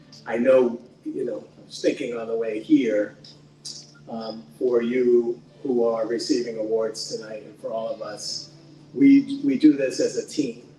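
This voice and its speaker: A man speaks at a fairly slow pace, with big swings in loudness. Noticeable background noise is present. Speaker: nonprofit president and CEO. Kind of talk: speech at awards reception. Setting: event hall with audience. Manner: halting, many fillers.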